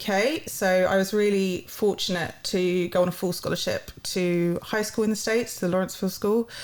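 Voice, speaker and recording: A woman speaks with a London accent. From London, England. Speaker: university partnerships head. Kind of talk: podcast interview. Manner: hesitant, many fillers.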